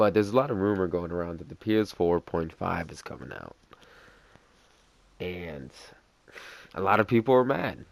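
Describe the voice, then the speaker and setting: At a moderate pace, a man with a very deep, low pitch talks with lively intonation, broken by long, frequent pauses. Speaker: gaming vlogger. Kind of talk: casual monologue. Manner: hesitant, filler-heavy.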